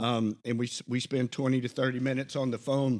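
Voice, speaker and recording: A man's medium-pitched voice in a Southern US accent, at a moderate pace with monotone, flat intonation. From Alabama. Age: 50s. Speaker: podcast co-host, Army veteran. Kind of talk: casual chat. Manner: halting.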